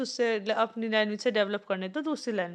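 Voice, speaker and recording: The woman's voice sits at a fairly high pitch. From Haryana, India. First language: Haryanvi (speaking Hindi). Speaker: exam-prep teacher. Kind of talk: lecture. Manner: halting, with fillers and restarts.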